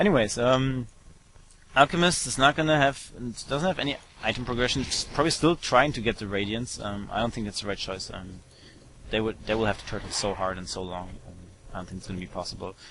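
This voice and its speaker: A man's medium-pitched voice in a German accent, very fast, with lively intonation and big swings in loudness. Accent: German accent, noticeable. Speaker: esports commentator. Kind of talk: live commentary. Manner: hesitant, many fillers.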